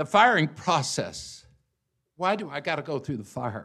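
The recording is very clean, and the background is silent. In it, a man speaks at a fairly slow pace. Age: 60s. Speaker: guest preacher. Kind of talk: sermon.

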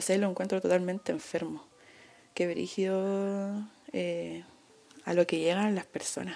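The speaker has a Chilean accent. The delivery is fairly slow, with long pauses that come often. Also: woman. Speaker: podcast host. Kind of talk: casual chat. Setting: bedroom at home.

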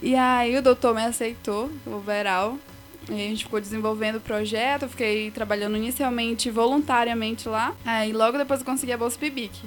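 With music in the background, a woman talks at a fairly quick pace in a fairly high pitch, keeping her intonation fairly even. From Pará, Brazil (Igarapé-Açu). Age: 20s. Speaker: biology student. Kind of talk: podcast interview.

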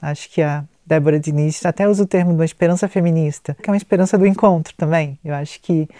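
A woman races along at a very fast pace with hardly any pauses. Her voice is fairly low, with a dark, mellow tone and fairly even intonation. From Pernambuco, Brazil. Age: 30s. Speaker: psychologist and researcher. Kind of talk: interview conversation.

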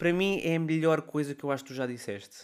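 Speech comes at a very fast pace in a European Portuguese accent with ordinary pitch variation. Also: man. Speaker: culture podcast co-host. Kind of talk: casual chat.

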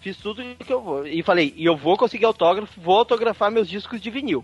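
A man speaks with lively intonation at a fairly quick pace. Music plays in the background. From Porto Velho, Brazil. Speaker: listener guest. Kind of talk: casual chat.

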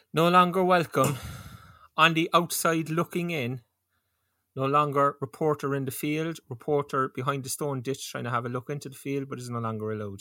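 In a Cork accent, a man talks at a fairly quick pace with a fairly high pitch, ordinary pitch variation, and a bright, sharp, animated tone, recorded very cleanly against a silent background with a dry, close sound and no echo. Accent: Cork Irish. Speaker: podcast host and football fan. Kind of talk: casual chat podcast. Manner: joking, animated.

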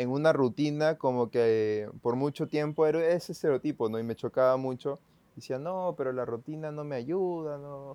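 A man with a Peruvian accent speaks in a fairly high pitch with a dark, mellow tone, ordinary pitch variation and a moderate pace. The quiet background has a dry, close sound with no echo. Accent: Peruvian Spanish (Lima). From Peru, Lima. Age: 20s. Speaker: photographer and church video volunteer. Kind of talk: casual interview.

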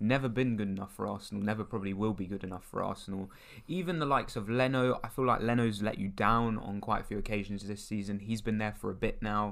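A man with a fairly low voice talks at a very fast pace with hardly any pauses and fairly even intonation. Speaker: football podcast co-host. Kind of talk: casual chat. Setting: studio.

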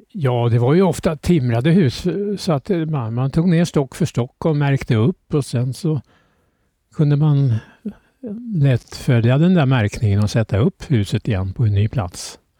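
A man speaks at a fairly slow pace in a medium pitch with a dark, mellow tone. His voice is somewhat breathy, with lively intonation and very even loudness. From Stockholm archipelago, summers since childhood. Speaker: islander interviewee. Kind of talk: casual interview chat. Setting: outdoors on a terrace. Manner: halting, with repetitions.

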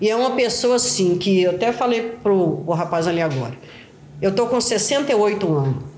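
The speaker keeps a moderate pace, with very wide pitch swings. Noticeable background noise and audible room echo fill the recording. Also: woman, medium pitch for a woman. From Belo Horizonte, Minas Gerais, Brazil. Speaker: favela resident, daughter of interviewee. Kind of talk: interview testimony. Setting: at home, on a sofa. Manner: halting, repetitive.

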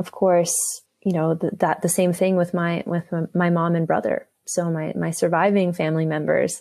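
A woman's fairly low, monotone voice with flat intonation and a Canadian accent. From Canada, Toronto. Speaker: educator and therapist in training. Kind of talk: casual interview. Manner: hesitant, many fillers.

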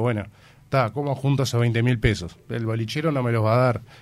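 A man speaks in a normal speaking voice at a medium pitch. His intonation is fairly even and his pace fairly quick. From Uruguay. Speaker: musician in a rock band. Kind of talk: radio interview.

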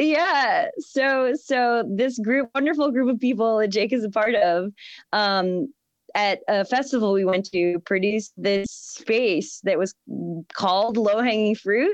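A woman's fairly high-pitched, ordinary speaking voice with lively intonation and very even loudness, at a fairly slow pace, dry and close with no echo over a quiet background. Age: 30s. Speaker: flower farmer and permaculture practitioner. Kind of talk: casual chat.

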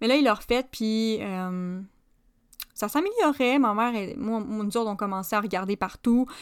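A woman speaks at a fairly slow pace with a Quebec accent, her pitch fairly high and its variation ordinary. The recording is very clean, with a silent background. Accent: Québécois French. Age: 20s. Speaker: podcast host. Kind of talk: casual monologue. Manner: hesitant with fillers.

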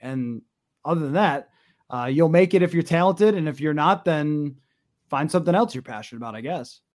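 This man has an unremarkable speaking voice with an American accent. His pitch is fairly high, with ordinary variation. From western New York. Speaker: sports radio broadcaster. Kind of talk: interview.

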